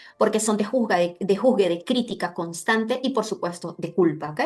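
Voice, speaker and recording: Fairly quick delivery from a woman, her pitch varying in an ordinary way. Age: 30s. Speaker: emotional therapist. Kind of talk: online talk with slides. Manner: fast.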